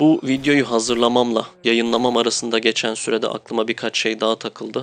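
Dry and close with no echo, a man's medium-pitched voice stays monotone and flat. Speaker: gaming youtuber. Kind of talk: game review monologue. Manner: casual.

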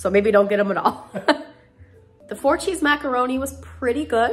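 Faint music plays behind a woman who speaks at a moderate pace. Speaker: food reviewer. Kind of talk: casual vlog chat. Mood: relaxed, friendly. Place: kitchen. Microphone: phone near.

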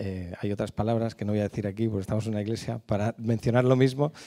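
Quiet background, and a man with a fairly low pitch, ordinary pitch variation and a dark, mellow tone. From Madrid, Spain; Spain. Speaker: speaker at a church on abuse recovery. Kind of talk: church talk. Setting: church. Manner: halting. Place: church. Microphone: handheld.

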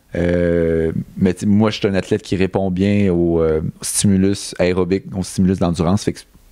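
A man with a Quebec accent speaks at a fairly slow pace in a very deep, low voice with monotone, flat intonation. The sound is dry with no echo. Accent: Québécois French. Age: 30s. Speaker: Olympic middle-distance runner; guest. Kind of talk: casual interview. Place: studio. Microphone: handheld.

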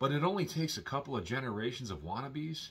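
Speaking fairly quickly, a man talks with an American accent. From Milwaukee, Wisconsin, US Midwest; Wisconsin. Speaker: YouTuber; vlogger. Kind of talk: vlog monologue. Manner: casual, hesitant with fillers. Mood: earnest, warning tone.

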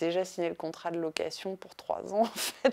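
Against a quiet background, a woman speaks at a medium pitch in a dark, mellow tone with fairly even intonation. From France. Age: 30s. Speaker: art foundation founder; interviewee. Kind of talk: interview monologue; interview answer. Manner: hesitant, many fillers. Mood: calm, reflective storytelling. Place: home room.

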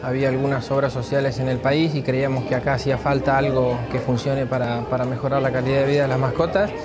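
A man talks at a fairly quick pace. Crowd noise can be heard behind him. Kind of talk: interview answer. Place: hall. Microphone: lapel.

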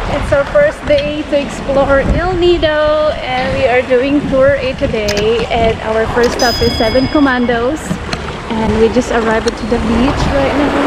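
Loud background noise surrounds a woman's voice. She speaks at a fairly slow pace with ordinary pitch variation. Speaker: travel vlogger. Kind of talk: casual vlog chat. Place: beach. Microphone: phone near.

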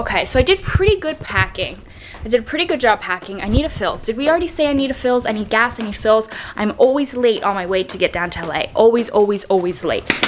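Over light background noise, a woman talks at a very fast pace with a high pitch. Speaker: vlogger. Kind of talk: casual vlog chat. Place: home room. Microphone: phone near.

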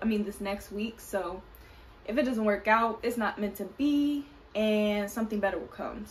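Speaking at a moderate pace, a woman has a fairly high voice and fairly even intonation. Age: 20s. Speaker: vlogger. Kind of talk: casual talk to camera. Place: kitchen.

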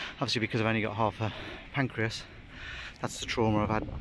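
A man speaks at a fairly low pitch with fairly even intonation, his voice dry with no echo over loud background noise. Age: 50s. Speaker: vlogger. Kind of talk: casual vlog monologue. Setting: outdoors. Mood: candid, personal. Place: beach. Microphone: phone near.

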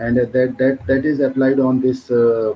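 Amid noticeable background noise, a man with an Indian accent and medium pitch speaks at a very slow pace with fairly even intonation. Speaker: doctoral researcher. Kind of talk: conference presentation. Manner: halting.

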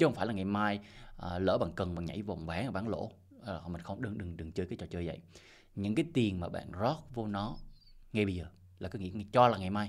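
A man's fairly low voice at a very fast pace, broken by long, frequent pauses, with ordinary pitch variation over a quiet background. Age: 40s. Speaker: crypto investment YouTuber. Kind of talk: casual monologue advice video. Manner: repetitive, halting with fillers. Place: home room. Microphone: studio mic.

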